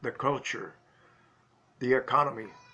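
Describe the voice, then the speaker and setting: Bright and sharp in tone, a man with a Cuban accent talks at a moderate pace and medium pitch. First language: Spanish. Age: 80s+. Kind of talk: personal life story told to camera.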